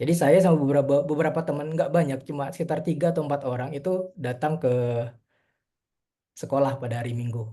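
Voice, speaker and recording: At a very fast pace, a man with a fairly high pitch and a dark, mellow, somewhat breathy tone speaks with fairly even intonation. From Indonesia, East Kalimantan (Tenggarong), later Malang. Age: 30s. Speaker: mobile developer, webinar speaker. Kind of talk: webinar presentation. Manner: casual, hesitant with fillers.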